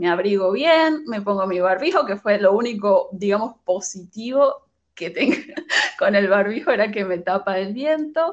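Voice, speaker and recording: A woman's voice at a fairly slow pace, with very wide pitch swings. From Venezuela, Caracas. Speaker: migrant sharing her story. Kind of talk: interview.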